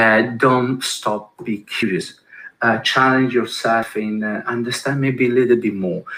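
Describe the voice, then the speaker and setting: At a fairly slow pace, a man with an Italian accent speaks in a medium pitch with a bright, sharp tone. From Italy, Milan. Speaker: design executive, keynote speaker. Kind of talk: conference keynote talk. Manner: halting, many fillers.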